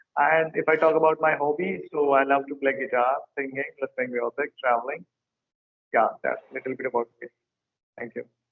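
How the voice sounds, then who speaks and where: A man with an Indian accent talks at a fairly quick pace, keeping his intonation fairly even and leaving long, frequent pauses. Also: fairly high pitch for a man. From northern India, Uttar Pradesh. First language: Hindi. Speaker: English teacher and YouTuber. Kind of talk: casual chat.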